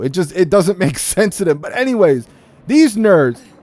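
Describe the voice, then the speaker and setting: The speaker is a man. His pitch is high. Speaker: gaming YouTuber. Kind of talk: profane gaming rant about leaked gameplay, building to a heated vent. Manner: fired-up, exasperated, swearing and piling up run-on clauses.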